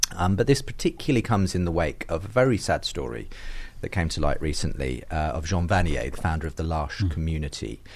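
Talking very fast in a British accent, a man with a very deep, low voice uses lively intonation and vocal fry. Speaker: podcast host and interviewer. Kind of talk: casual interview chat.

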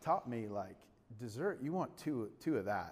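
A man's pitch leaps over a very wide range, with audible echo from the room. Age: 40s. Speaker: pastor. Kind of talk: sermon. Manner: animated.

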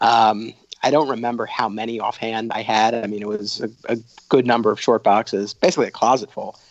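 This man has an ordinary speaking voice with an American accent, medium pitch, fairly even intonation and a fairly quick pace. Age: 30s. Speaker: documentary filmmaker. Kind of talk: podcast interview.

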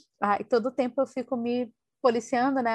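The speech comes at a fairly slow pace. The sound is dry and close with no echo, over a quiet background. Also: woman. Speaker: podcast co-host. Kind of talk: casual book discussion. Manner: hesitant, many fillers.

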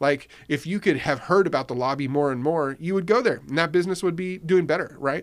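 A man with an American accent speaks fairly quickly, with hardly any pauses. His is an unremarkable speaking voice, fairly high in pitch, with ordinary pitch variation. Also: very clean recording, silent background. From Riverside, California (US West Coast). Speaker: newspaper founder. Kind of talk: casual chat. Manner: conversational, filler-heavy.

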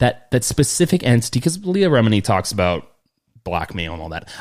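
Using vocal fry, a man speaks at a moderate pace with very wide pitch swings. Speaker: podcast host. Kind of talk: casual chat.

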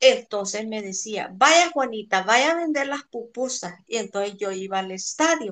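A woman talks fairly slowly, her intonation lively, against a quiet backdrop. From El Salvador. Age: 60s. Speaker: interviewee, friend's mother. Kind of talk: interview, childhood storytelling. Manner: natural speed.

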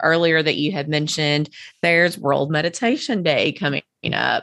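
In a Kentucky accent, a woman talks at a moderate pace with a very deep, low pitch. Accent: Kentucky Southern US. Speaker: podcast host. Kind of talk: casual interview chat. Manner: filler-heavy, chatty.

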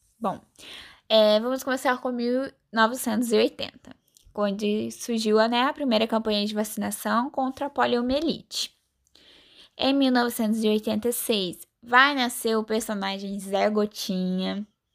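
A woman's fairly high voice, with ordinary pitch variation, moves very slowly and stops often for long pauses. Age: 20s. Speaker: pharmacy student. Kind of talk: scripted school interview presentation.

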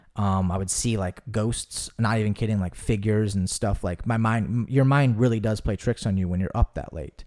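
In a very clean recording with a silent background, a man with an American accent and a normal speaking voice talks at a moderate pace with fairly low pitch, fairly even intonation and hardly any pauses. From US South. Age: 20s. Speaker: actor and podcast host. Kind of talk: casual chat.

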